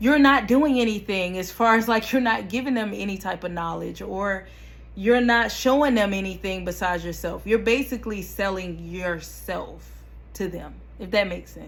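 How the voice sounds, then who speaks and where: Her loudness swings widely as a woman speaks. Room echo is audible. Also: moderate pace. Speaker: YouTuber, vlogger. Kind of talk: casual vlog talk to camera. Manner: animated.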